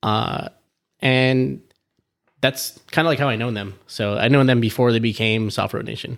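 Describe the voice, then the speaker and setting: A man with an American accent has a normal speaking voice at a medium pitch. He talks at a moderate pace with fairly even intonation. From Southern California. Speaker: car enthusiast. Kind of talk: casual chat. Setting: in person at home.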